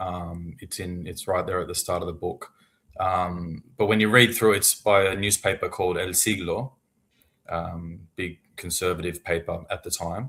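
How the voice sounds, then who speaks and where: A man with an Australian accent has a very deep, low pitch and a bright, sharp tone. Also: fairly even intonation, moderate pace. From Australia, Melbourne. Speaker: author. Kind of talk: casual interview.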